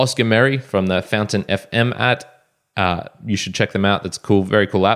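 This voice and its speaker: A man with an Australian accent speaks at a fairly low pitch. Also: very clean recording, silent background. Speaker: podcast host. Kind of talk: solo podcast monologue.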